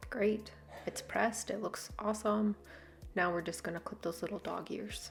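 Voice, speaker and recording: Over noticeable background noise, a woman with a medium pitch speaks at a moderate pace with fairly even intonation. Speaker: hobby quilter, video creator. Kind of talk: tutorial. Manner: monotone.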